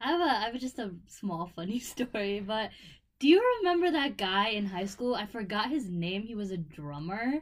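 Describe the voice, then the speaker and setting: With an American accent, a woman speaks at a moderate pace, her pitch swinging very widely. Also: fairly high pitch for a woman. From Buffalo, New York. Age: 20s. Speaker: podcast co-host, college student. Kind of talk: casual chat.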